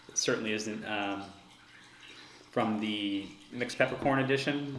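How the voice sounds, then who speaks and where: A man's fairly low voice at a moderate pace with ordinary pitch variation, plus audible room echo and noticeable background noise. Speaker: homebrewer reviewing own beer. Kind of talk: casual solo review. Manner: hesitant, many fillers; loud.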